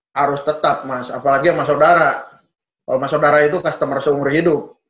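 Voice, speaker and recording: A man talks very fast with a strong Sundanese accent. His fairly high voice stays monotone and flat. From West Java (Sundanese). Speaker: car sales executive. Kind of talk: interview conversation.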